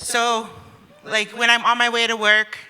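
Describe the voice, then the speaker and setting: A woman's bright, sharp voice at a very slow pace. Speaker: stand-up comedian. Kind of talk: stand-up comedy set to a live audience. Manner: sassy, humorous.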